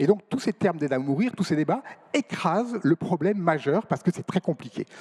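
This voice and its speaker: A man talks fairly quickly in a high voice with lively intonation, and the sound is dry and close with no echo. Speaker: nephrologist, panel speaker. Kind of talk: round table debate. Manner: fast.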